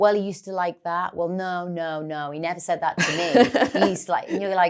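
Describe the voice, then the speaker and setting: A woman with a Geordie accent speaks at a fairly quick pace and a fairly low pitch. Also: ordinary pitch variation. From North East England. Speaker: actress. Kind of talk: podcast interview answer. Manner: candid, reflective.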